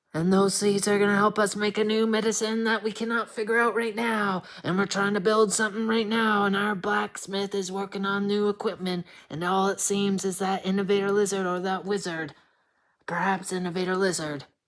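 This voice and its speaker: A put-on character voice that sounds female, pitched in the middle range and delivered at a fairly quick pace. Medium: read story. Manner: earnest, rambling.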